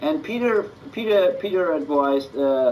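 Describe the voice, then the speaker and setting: A man speaks with very wide pitch swings. Noticeable background noise sits behind him. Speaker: metal musician. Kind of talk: interview. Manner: halting, many fillers and repeats.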